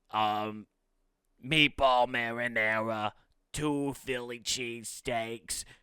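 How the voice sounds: Doing a put-on character voice, a man speaks raspily at a very slow pace, with a medium pitch and monotone, flat intonation, on a very clean recording with a silent background.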